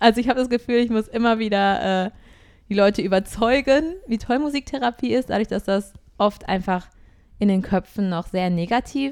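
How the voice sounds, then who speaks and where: At a moderate pace, a woman with a fairly high pitch and ordinary pitch variation talks in a normal speaking voice. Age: 20s. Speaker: singer and music therapist. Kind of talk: casual interview. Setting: online call.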